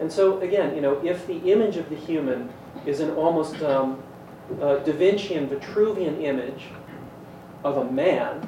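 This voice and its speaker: A man talks at a moderate pace in a fairly high voice with ordinary pitch variation. Room echo is audible, and there is noticeable background noise. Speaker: panelist. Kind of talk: panel discussion. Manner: loud.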